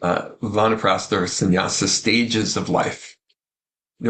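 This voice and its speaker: Ordinary pitch variation is heard. The delivery is fairly slow. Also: man. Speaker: ayurveda teacher. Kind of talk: spiritual teaching talk.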